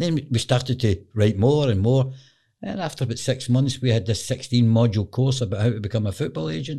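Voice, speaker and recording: With a Glaswegian accent, a man speaks at a fairly quick pace in a medium-pitched, dark, mellow, somewhat breathy voice with ordinary pitch variation, on a very clean recording with a silent background. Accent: Glaswegian Scottish. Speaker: football agent. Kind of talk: interview.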